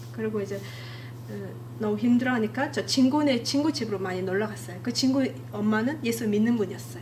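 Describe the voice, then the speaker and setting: With a Mongolian accent, a woman talks at a very fast pace with very wide pitch swings, amid noticeable background noise and audible room echo. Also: medium pitch for a woman. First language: Mongolian (speaking Korean). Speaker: church member giving testimony. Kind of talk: testimony. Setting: church. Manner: halting.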